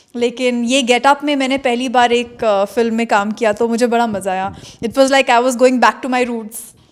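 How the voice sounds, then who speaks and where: A woman speaks at a moderate pace with a high, flat, monotone delivery and hardly any pauses. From northern India, Maharashtrian family from Madhya Pradesh. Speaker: film actress. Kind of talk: press interview.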